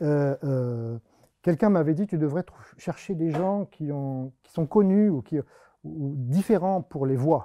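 A man's dark, mellow voice, fairly high in pitch, at a very slow pace, with ordinary pitch variation and big swings in loudness. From France. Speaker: mathematician giving a public talk. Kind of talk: public lecture. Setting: stage with audience. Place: classroom.

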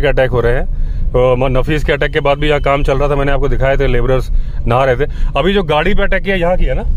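The speech moves at a fairly quick pace with ordinary pitch variation, dry with no echo and with light background noise. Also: man. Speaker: travel vlogger. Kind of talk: casual vlog chat. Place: car. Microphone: phone near.

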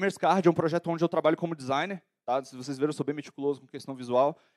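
Against a quiet background, a man speaks in a fairly high pitch. His pitch variation is ordinary. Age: 20s. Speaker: entrepreneur and conference speaker; conference speaker. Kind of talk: lecture. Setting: stage with audience. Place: hall. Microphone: handheld.

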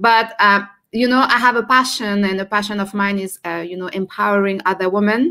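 Against a quiet background, a woman with a French accent speaks at a medium pitch and a fairly quick pace. Her tone is bright and sharp, and her intonation fairly even. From France. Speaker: entrepreneur and personal branding coach; personal branding coach. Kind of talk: live stream interview. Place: home room. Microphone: video call.

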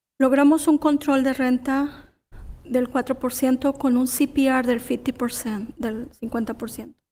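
A woman speaks at a moderate pace in a high pitch with a dark, mellow tone and monotone, flat intonation. The recording is very clean, with a silent background. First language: Spanish. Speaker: tenant activist. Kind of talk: public comment. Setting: city council meeting.

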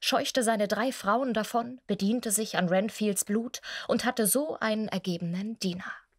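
Moderate-paced speech from a woman at a fairly high pitch with ordinary pitch variation, over a quiet background. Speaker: voice actress. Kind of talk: humorous film recap reading. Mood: wry, humorous narration. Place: studio. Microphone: studio mic.

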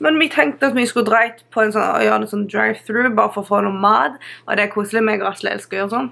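With a bright, sharp tone and vocal fry, a woman speaks at a fairly high pitch. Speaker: vlogger. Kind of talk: vlog.

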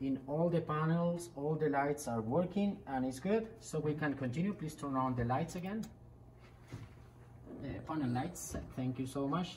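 Over light background noise, a woman speaks at a moderate pace in a very deep, low pitch. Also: ordinary pitch variation. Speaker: simulator instructor. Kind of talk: tutorial. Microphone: phone near.

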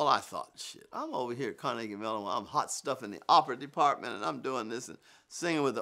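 A man speaks at a very fast pace against a quiet background. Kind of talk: interview answer. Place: home room.

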